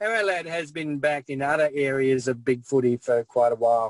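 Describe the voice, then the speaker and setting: A man with an Australian accent talks at a fairly slow pace in a medium pitch, and the sound is dry and close with no echo. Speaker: former league admin, guest. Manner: monotone when speaking as admin.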